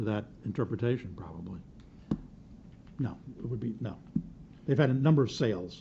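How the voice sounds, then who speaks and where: In a somewhat breathy voice of medium pitch, a man talks at a fairly quick pace with lively intonation. He leaves long, frequent pauses, and audible room echo surrounds him. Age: 60s. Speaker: city attorney. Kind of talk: council meeting discussion. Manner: halting.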